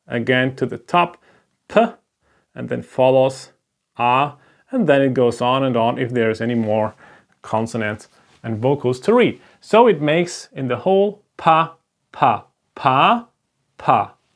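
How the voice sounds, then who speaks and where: The speaker has a German accent and a fairly slow pace. Long, frequent pauses come throughout. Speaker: language teacher. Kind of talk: lecture. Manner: halting.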